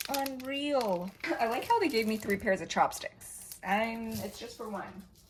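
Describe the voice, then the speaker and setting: A woman speaks at a fairly slow pace in a fairly high pitch, her loudness swinging widely over noticeable background noise. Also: ordinary pitch variation. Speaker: vlogger. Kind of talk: casual vlog narration.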